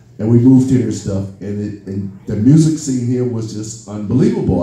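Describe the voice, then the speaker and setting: The voice shows ordinary pitch variation. Noticeable background noise and audible room echo fill the recording. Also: man. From US Midwest, Chicago West Side, raised in Minneapolis. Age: 60s. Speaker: musician, drummer. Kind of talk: Q&A storytelling. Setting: party event with audience. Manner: animated.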